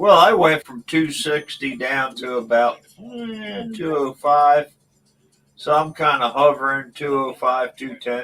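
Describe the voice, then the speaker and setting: Music plays in the background as a man with a fairly high voice talks at a very slow pace, his intonation lively and his loudness swinging widely. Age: 60s. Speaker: livestream guest. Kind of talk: casual chat.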